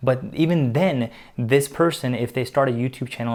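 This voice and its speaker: A man speaks with a non-native accent at a medium pitch. His pace is moderate. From immigrated to US at age eight. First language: not English. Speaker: YouTuber and public speaker. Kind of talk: motivational talk to camera. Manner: confident, animated.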